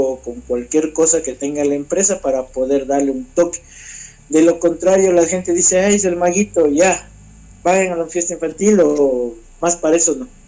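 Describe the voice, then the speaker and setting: Moderate speed and normal pitch movement in a man's high voice. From Ecuador, Ambato. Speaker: magician. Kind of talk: interview.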